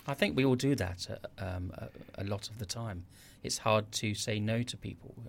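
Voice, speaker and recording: Somewhat breathy, a man speaks at a moderate pace and fairly low pitch with ordinary pitch variation. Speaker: podcast host. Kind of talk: interview.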